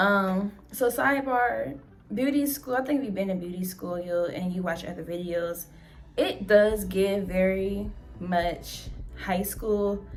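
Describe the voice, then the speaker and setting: Audible room echo surrounds a woman speaking at a fairly slow pace with a medium pitch and ordinary pitch variation. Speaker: beauty vlogger. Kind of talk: storytime vlog. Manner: quiet; casual.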